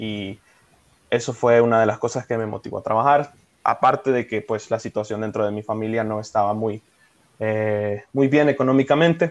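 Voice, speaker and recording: This man has an unremarkable speaking voice with a medium pitch. He talks at a moderate pace with fairly even intonation. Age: 20s. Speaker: call center team leader. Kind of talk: casual chat. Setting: at home.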